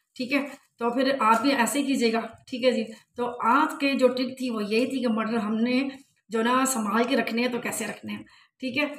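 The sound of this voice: Audible room echo surrounds this woman's voice. She has a fairly high pitch and fairly even intonation.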